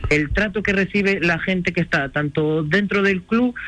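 Bright and sharp in tone, a man's high voice moves at a moderate pace with lively intonation. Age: 30s. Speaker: football coach. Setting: phone call.

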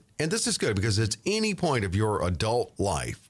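Very wide pitch swings mark a man's medium-pitched voice as he speaks at a moderate pace. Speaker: podcast host.

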